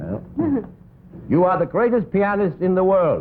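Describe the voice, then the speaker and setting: Music plays in the background as a man talks at a high pitch. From Denmark. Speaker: comedian and pianist. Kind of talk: comedy sketch on live TV variety show. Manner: dry, sly humor.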